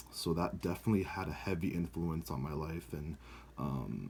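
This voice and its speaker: Moderate-paced male speech, very deep and low, with vocal fry. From United States, born in Brazil. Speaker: student. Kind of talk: video blog answering class questions. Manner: casual with many fillers.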